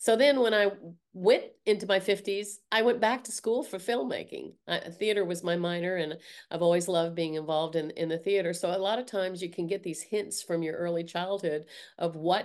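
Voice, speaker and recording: A woman with an American accent speaks at a moderate pace and medium pitch with ordinary pitch variation, in a normal speaking voice over a quiet background. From US South. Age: 60s. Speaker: art teacher and artist. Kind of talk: casual interview conversation.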